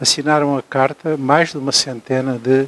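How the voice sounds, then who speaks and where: A man with a central Portuguese accent speaks at a fairly slow pace and a fairly high pitch. Noticeable background noise runs under his voice. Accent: European Portuguese, Ribatejo. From Almeirim, Ribatejo, Portugal. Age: 70s. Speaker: pediatrician and writer. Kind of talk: interview answer. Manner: hesitant, with fillers.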